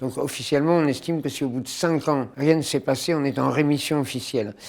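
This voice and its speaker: A man with a fairly high voice talks fairly quickly, his intonation fairly even. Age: 60s. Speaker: comedian. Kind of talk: testimony. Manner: halting.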